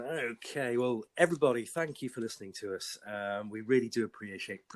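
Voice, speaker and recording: The man speaks with a British accent. His pace is fairly quick and his pitch variation ordinary. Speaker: podcast host.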